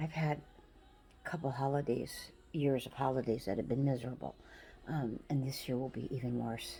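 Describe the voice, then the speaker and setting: A woman with a very deep, low pitch and a dark, mellow, somewhat breathy tone speaks at a moderate pace with fairly even intonation, leaving long, frequent pauses. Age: 70s. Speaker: vlogger. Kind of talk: personal farewell message. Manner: halting.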